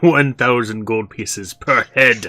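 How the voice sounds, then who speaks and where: Putting on a character voice, a man speaks at a medium pitch and a fairly slow pace. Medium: actual play. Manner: condescending and menacing.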